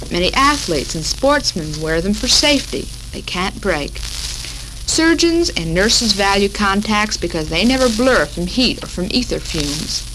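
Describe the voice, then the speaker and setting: Against noticeable background noise, a woman with an American accent talks with hardly any pauses. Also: moderate pace. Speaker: radio host. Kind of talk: 1940s women's radio talk show. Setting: radio broadcast, 1940s recording.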